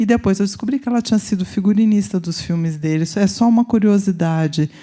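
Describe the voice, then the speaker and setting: With a Brazilian accent, a woman speaks in a dark, mellow tone. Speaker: researcher. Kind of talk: audience question at conference.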